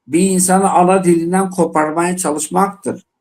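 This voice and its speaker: A man with an Eastern Anatolian accent talks in a voice that is high-pitched for a man. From Dersim (Tunceli), eastern Turkey. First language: Zazaki (speaking Turkish). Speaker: panel guest, Zaza activist. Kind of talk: panel discussion on live TV. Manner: impassioned, emphatic.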